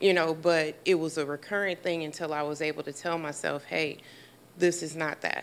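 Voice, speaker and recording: A woman with an American accent, very deep and low in pitch, at a moderate pace with monotone, flat intonation. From US Midwest (inner-city Milwaukee). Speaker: mental health clinician. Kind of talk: live interview in front of studio audience. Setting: studio with live audience.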